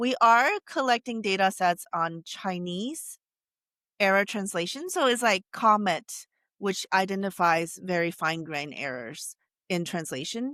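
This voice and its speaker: With a Taiwanese accent, a woman speaks at a fairly slow pace in a bright, sharp tone with lively intonation, the sound dry and close with no echo. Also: medium pitch for a woman, very clean recording, silent background. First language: Taiwanese Hokkien. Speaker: AI researcher. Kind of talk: interview. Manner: halting, many self-corrections.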